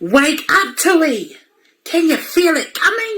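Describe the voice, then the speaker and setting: A woman's put-on character voice, extremely high-pitched, at a fairly slow pace. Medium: read story. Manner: eager, urgent.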